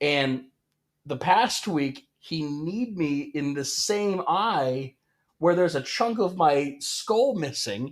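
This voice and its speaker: A man with a fairly high pitch speaks at a very slow pace with lively intonation on a very clean recording with a silent background. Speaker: wrestling podcast co-host. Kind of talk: casual chat. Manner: loud.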